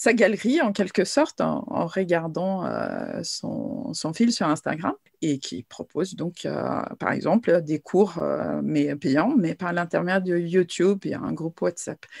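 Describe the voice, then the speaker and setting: Very slow speech in a dry, close sound with no echo. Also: woman. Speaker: crochet and knitting designer, former translator. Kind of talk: interview answer. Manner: energetic, lively.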